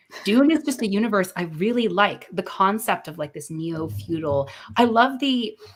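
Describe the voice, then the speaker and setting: A woman's somewhat breathy voice at a medium pitch and moderate pace, with very wide pitch swings. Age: 20s. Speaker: livestream host. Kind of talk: casual chat. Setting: livestream.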